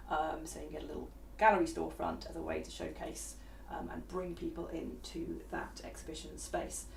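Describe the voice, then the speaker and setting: A woman speaks quietly at a fairly quick pace. Noticeable background noise and audible room echo surround her. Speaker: VR software developer. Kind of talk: live stream chat. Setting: online live stream. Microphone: far from the mic.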